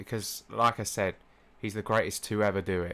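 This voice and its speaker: On a very clean recording with a silent background, a man speaks with a British accent. His intonation is monotone and flat. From UK. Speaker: gaming and anime YouTuber. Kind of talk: casual vlog monologue. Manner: halting, many fillers and restarts.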